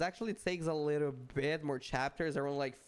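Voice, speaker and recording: On a very clean recording with a silent background, a man speaks with a Portuguese accent. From Brazil. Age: 20s. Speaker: gaming streamer. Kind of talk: live gaming stream chat. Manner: halting, frequent self-corrections; casual, repeats 'bro'.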